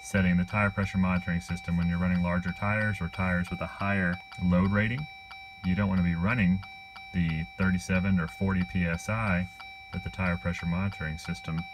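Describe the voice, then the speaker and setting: Noticeable background noise sits under speech that moves at a moderate speed. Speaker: vehicle owner demonstrating a tool. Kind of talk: tutorial. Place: car. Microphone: phone near.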